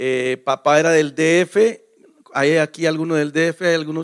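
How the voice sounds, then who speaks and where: Here is a man with an ordinary speaking voice, fairly high in pitch and fairly even in intonation. The sound is dry and close with no echo. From Mexico. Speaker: pastor. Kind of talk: sermon. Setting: church.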